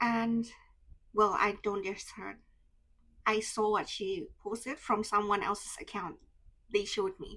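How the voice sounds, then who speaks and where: A woman with an Indonesian accent talks in a bright, sharp, animated tone. Her pace is fairly slow, with long, frequent pauses. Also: medium pitch for a woman. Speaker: vlogger. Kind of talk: personal storytelling vlog. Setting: handheld camera vlog. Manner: emotional, animated.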